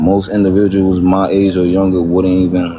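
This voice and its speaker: Against noticeable background noise, a man speaks at a moderate pace in a very deep, low pitch. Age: 20s. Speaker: live stream participant. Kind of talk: casual chat. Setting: live stream. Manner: halting, many fillers.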